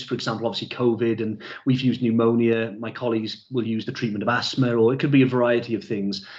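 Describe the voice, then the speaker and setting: A man talks with a South Wales Valleys accent. Noticeable background noise runs under his voice. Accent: Welsh, South Wales Valleys. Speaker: product trainer. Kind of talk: online training session.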